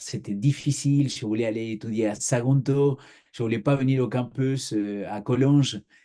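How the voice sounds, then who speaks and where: Fairly even intonation and a dark, mellow tone come through at a fairly slow pace. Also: man. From Argentina. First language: Spanish (speaking French). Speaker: pastor. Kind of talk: interview testimony.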